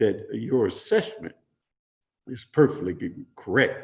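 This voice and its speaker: This man has an American accent. His voice is somewhat breathy. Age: 70s. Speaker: city mayor. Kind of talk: interview. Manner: halting, repetitive.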